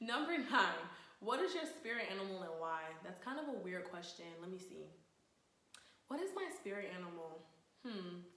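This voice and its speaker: Moderate pace from a woman at medium pitch, with very wide pitch swings, long, frequent pauses and audible room echo. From Sierra Leone and Charlotte, North Carolina. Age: 20s. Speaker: vlogger, Air Force service member. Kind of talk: casual vlog intro. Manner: casual, chatty.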